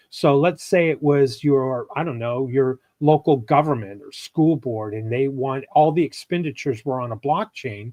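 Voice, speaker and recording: Using a normal speaking voice, a man talks at a moderate pace with hardly any pauses, a fairly high pitch and ordinary pitch variation. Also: big swings in loudness. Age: 60s. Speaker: podcast guest, former business executive. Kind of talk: casual chat. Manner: explanatory.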